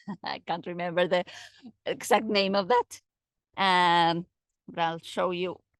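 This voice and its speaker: A woman with a non-native accent talks at a fairly slow pace. The sound is dry with no echo, and the background is quiet. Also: fairly low pitch for a woman, fairly even intonation. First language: not English. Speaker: guide on a forest walk. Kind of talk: guided tour. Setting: outdoors. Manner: halting. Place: forest. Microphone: phone near.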